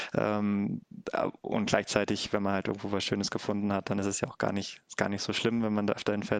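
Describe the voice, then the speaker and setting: In a dry, close recording with no echo, a man speaks fairly quickly at a fairly low pitch. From Germany, Harz (Lower Saxony). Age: 20s. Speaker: engineer and volunteer youth camp leader. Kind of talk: casual interview. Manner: hesitant, many filler sounds.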